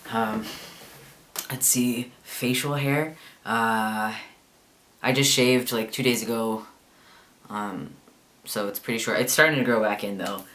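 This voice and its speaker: A man's bright, sharp voice with long, frequent pauses and audible room echo. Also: medium pitch for a man, ordinary pitch variation. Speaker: vlogger. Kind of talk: casual video diary. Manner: hesitant, many fillers.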